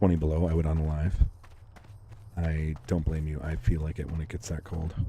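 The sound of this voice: A man speaks quietly at an extremely low pitch and a fairly quick pace. His tone is dark and mellow, his intonation monotone and flat.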